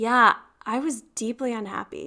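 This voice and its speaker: A woman with an American accent speaks in an animated, bright, sharp tone, her fairly high voice showing ordinary pitch variation. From US, small town. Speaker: former lawyer turned wellbeing coach. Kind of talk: interview.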